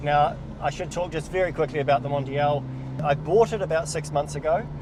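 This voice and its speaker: A man with a New Zealand accent, fairly high pitch, fairly even intonation and a fairly quick pace, over noticeable background noise. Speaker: car reviewer, channel host. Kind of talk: casual car review chat. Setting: in a car. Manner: loud, shouting over engine.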